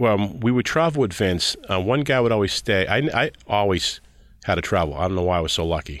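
A man talks at a fairly quick pace with lively intonation and a fairly low pitch. It is a normal speaking voice. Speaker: former wrestling TV writer and director. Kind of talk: casual interview chat.

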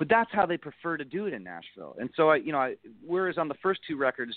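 With an Ontario accent, a man races along at a very fast pace with very wide pitch swings. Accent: Canadian (Ontario). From Niagara Falls, Ontario, Canada. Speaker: country singer. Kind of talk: casual interview chat.

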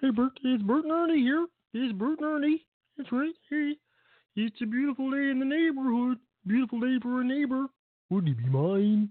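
A put-on character voice, pitched high and delivered at a moderate pace. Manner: playful, mock-cheerful.

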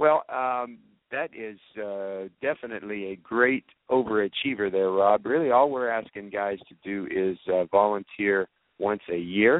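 A man's fairly low voice with an American accent, a fairly slow pace, ordinary pitch variation and big swings in loudness. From Georgia, US South. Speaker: radio host. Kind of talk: live radio interview. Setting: convention venue. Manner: hesitant, filler-heavy.

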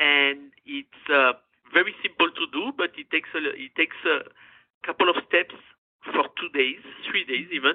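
A woman with a French accent speaks at a very deep, low pitch. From France, Gascony. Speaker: chef and food business owner. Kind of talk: interview. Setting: phone call.

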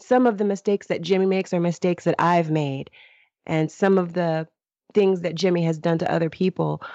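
The voice carries an American accent. Its tone is dark and mellow. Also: woman. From Los Angeles, US. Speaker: author and podcaster. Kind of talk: interview.

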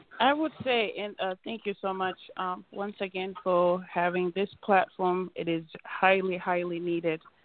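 An American woman uses an ordinary speaking voice at a medium pitch with ordinary pitch variation. She talks at a fairly slow pace with hardly any pauses. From United States. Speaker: community association president. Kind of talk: call-in radio panel discussion.

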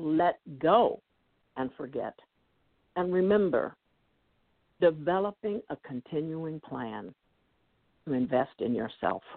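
A woman talks at a very slow pace with lively intonation, leaving long, frequent pauses. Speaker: motivational speaker and life coach. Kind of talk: interview. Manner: high energy.

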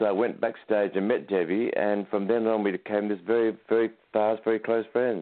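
Speaking at a fairly quick pace, a man with a normal speaking voice and fairly low pitch keeps his intonation fairly even and his loudness very even. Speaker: author and producer, fan. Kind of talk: casual interview chat. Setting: phone call.

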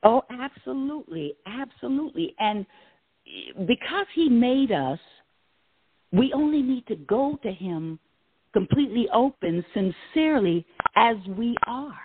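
With an American accent, a woman speaks at a high pitch with very wide pitch swings, moving at a fairly slow pace with long, frequent pauses. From western Pennsylvania. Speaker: actress and storyteller. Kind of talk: casual interview conversation. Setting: live radio show.

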